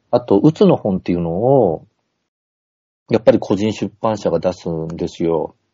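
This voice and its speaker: A man talks at a moderate pace in a fairly low pitch with lively intonation. He has an ordinary speaking voice. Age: 50s. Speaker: poet and comedian. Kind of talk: casual chat. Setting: video call.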